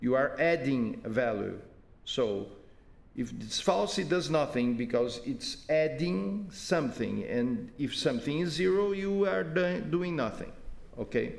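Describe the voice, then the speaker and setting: Speaking at a fairly slow pace, a man with a fairly high pitch swings very widely in pitch, with audible room echo around him. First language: not English. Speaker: software developer giving user support. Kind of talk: screen-recorded tutorial. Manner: halting, many repetitions.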